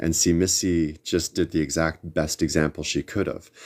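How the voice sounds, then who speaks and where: This man mumbles in a very deep, low pitch. His intonation stays monotone and flat. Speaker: tarot reader livestream host. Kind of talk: live stream chat. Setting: livestream. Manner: mumbling.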